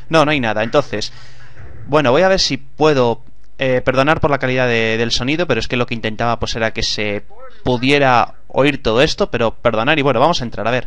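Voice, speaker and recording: The recording is dry, with no echo. A man talks fairly quickly at a medium pitch, with ordinary pitch variation. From Spain. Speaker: gaming YouTuber. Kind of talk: gameplay commentary. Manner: animated.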